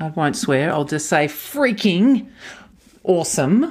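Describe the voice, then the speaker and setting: A woman with an Australian accent speaks at a fairly slow pace with lively intonation, heard in a very clean recording over a silent background. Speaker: podcast host and leadership coach. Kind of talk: interview; scripted narration.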